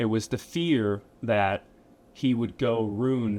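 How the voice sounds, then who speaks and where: Here is a man with an American accent and a fairly low pitch, an ordinary speaking voice. The recording is very clean, with a silent background. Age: 30s. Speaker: motivational speaker. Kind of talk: talk to students. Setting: school classroom talk.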